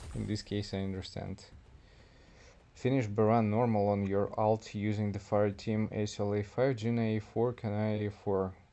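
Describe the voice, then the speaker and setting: This man has a dark, mellow tone and a fairly low pitch, in a non-native accent. His intonation is monotone and flat, at a moderate pace. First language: not English. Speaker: gaming streamer. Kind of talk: live gameplay stream. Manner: casual, chatty.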